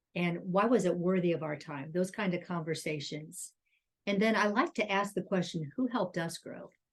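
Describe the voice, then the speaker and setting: A woman's fairly low voice at a moderate pace, with ordinary pitch variation, an ordinary speaking voice. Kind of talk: casual chat.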